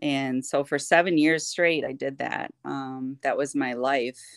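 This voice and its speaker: A woman with an Upper Midwest accent speaks at a very deep, low pitch and a moderate pace, with monotone, flat intonation. The recording is very clean, with a silent background and a dry, close sound with no echo. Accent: Upper Midwest American. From Michigan (Kentwood). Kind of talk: testimony in casual interview.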